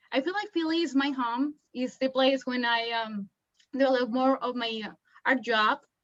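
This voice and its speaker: A woman speaks with a Colombian accent. Her pitch varies in an ordinary way and her pace is moderate. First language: Spanish. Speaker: illustrator and industrial designer. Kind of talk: artist talk. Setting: video call. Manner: halting, many fillers.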